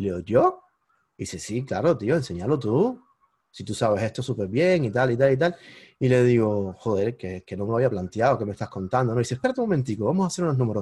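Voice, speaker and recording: A man with a dark, mellow tone speaks very fast, somewhat breathy, with lively intonation over a quiet background. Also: medium pitch for a man. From Cuba. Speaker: digital marketing entrepreneur. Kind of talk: interview. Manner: animated.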